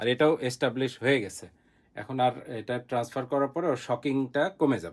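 A man speaks with an unremarkable speaking voice at a medium pitch and ordinary pitch variation. His loudness swings widely. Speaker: gardening YouTuber. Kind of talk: video narration.

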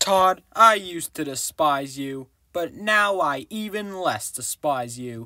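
In a cartoonish character voice, a man with a fairly high pitch and lively intonation talks at a fairly slow pace in a very clean recording with a silent background. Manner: whiny, sarcastic, scheming.

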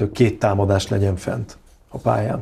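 A man is speaking. His voice is somewhat breathy with a dark, mellow tone. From Hungary. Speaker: handball pundit. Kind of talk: casual chat. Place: studio. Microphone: lapel.

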